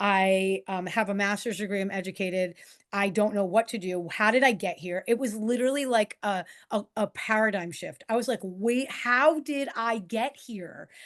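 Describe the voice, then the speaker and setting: At a moderate pace, a woman with an American accent speaks at a medium pitch with ordinary pitch variation. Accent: New York accent, noticeable now and then. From New York. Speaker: coach and author. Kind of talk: interview.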